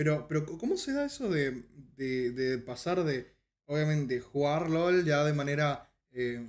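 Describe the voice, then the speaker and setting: A man with a fairly high pitch speaks at a fairly slow pace in a normal speaking voice. His pitch variation is ordinary. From Paraguay. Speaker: podcast host and streamer; podcast host, streamer. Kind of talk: casual interview. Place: home room.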